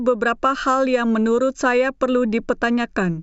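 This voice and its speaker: In a non-native accent, a woman speaks at a moderate pace in a high voice. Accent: non-native Indonesian, self-described. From born in China. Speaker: YouTube reaction commentator. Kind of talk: video commentary intro.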